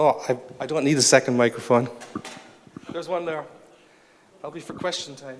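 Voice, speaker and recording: Speaking with a Cork accent at a fairly quick pace, a man with a fairly high pitch leaves long, frequent pauses amid noticeable background noise. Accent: Cork accent, sing-song. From Ireland, Cork city. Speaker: conference speaker. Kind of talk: conference talk. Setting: stage with audience. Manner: rises in pitch when excited; animated.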